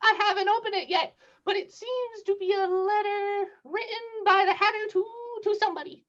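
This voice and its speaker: In a put-on character voice, the speaker talks at an extremely high pitch and a moderate pace. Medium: audio drama. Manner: nervous, deferential.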